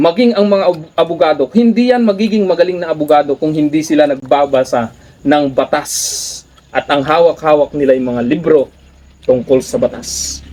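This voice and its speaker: Noticeable background noise surrounds a man speaking at a moderate pace. His fairly high voice has lively intonation. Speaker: vlogger, former teacher. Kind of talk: motivational talk.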